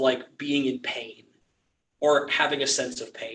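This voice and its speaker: A man at a moderate pace, with audible room echo. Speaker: church class teacher. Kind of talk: lecture. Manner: halting.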